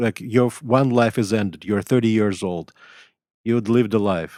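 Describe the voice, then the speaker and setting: The speaker is a man with a Russian accent. The sound is dry and close with no echo, in a very clean recording over a silent background. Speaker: writer and professor. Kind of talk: interview. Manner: halting.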